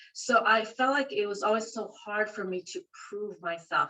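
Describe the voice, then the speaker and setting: At a moderate pace, a woman with a Spanish accent speaks with fairly even intonation. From rural central California. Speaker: library dean. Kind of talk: interview.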